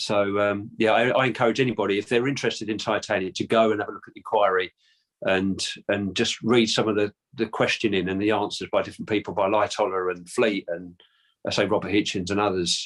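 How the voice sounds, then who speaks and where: Speaking very fast in a London accent, a man keeps a fairly low pitch and fairly even intonation. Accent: London accent, drops H's and T's. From London, England. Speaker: descendant of a historical figure, interviewee. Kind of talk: interview. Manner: halting, many repetitions and fillers.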